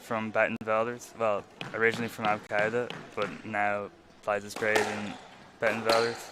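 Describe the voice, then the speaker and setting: A man with an Irish accent, flat monotone delivery, long and frequent pauses, and noticeable background noise. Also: fairly low pitch for a man, moderate pace. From Ireland. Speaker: squash commentator. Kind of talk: live commentary.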